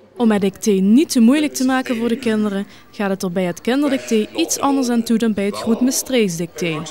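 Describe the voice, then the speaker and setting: Noticeable background noise surrounds a woman speaking at a fairly quick pace, her fairly high voice lively in intonation. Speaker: TV news reporter. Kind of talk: regional TV news report.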